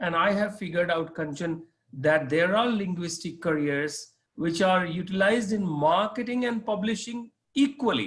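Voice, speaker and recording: A man talks at a moderate pace with an Indian accent and lively intonation. His pitch is high. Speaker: corporate trainer. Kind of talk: interview. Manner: hesitant, with fillers.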